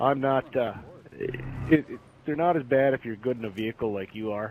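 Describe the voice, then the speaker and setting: A man with a Wisconsin accent, medium pitch, and a fairly quick pace, over noticeable background noise. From US Midwest, Wisconsin. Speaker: gamer. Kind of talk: casual interview.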